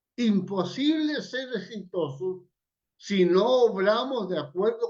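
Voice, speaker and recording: A man with a high pitch speaks at a very slow pace. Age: 80s+. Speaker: evangelist. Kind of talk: sermon.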